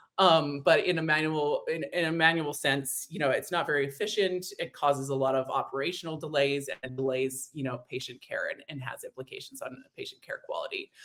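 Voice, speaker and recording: A woman with a very deep, low pitch and a slight Canadian accent speaks at a fairly quick pace with hardly any pauses. Her intonation stays fairly even while her loudness swings widely. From Canada, Edmonton, Alberta. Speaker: demand generation marketer. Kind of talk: webinar interview. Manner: hesitant with many fillers.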